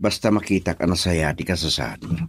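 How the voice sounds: Putting on a character voice, a man speaks fairly quickly at a low pitch with big pitch swings, vocal fry and a slightly husky edge.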